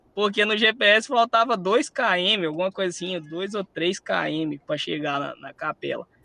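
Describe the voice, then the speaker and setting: A man speaks with a slight Minas Gerais accent. His voice is high-pitched, with ordinary pitch variation. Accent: slight Minas Gerais (mineiro). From Espírito Santo, Brazil. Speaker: musician and speaker. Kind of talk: storytelling talk. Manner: animated.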